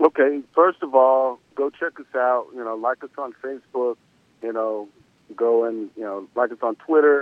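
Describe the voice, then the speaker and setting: In an American accent, a man of medium pitch speaks at a moderate pace with ordinary pitch variation and big swings in loudness. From US South. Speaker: former baseball player and coach. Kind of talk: interview. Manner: halting, many fillers.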